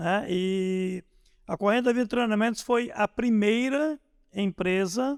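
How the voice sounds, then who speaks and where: A man speaks at a very slow pace. His pitch is high. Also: dry, close sound with no echo. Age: 60s. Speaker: volunteer firefighter sergeant. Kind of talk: interview storytelling.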